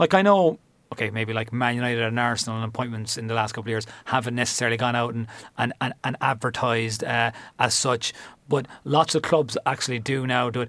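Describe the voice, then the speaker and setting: Against a quiet background, a man with a Cork accent speaks very fast at a medium pitch with ordinary pitch variation. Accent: Cork Irish. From Cork, Ireland. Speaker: football club manager. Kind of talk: interview. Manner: halting, many fillers.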